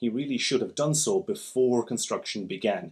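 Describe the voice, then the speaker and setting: The speech comes at a fairly quick pace with vocal fry and very wide pitch swings. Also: man, quiet background. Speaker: architect commenting. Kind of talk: commentary. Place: home room.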